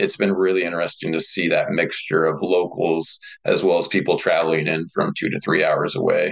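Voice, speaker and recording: Speaking with a Midwestern American accent, a man talks at a fairly quick pace with hardly any pauses. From rural north central Kansas. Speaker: rural economic developer and brewpub owner. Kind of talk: interview.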